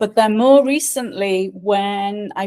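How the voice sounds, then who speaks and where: Her tone dark and mellow, a woman talks in a Scouse accent at a medium pitch. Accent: Liverpool English, praised as beautiful. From England, Liverpool. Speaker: life and career coach. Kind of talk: podcast interview.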